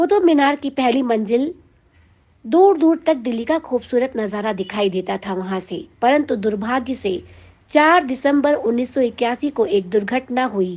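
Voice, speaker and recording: A woman's high voice with very wide pitch swings. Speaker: radio jockey. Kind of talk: music history narration.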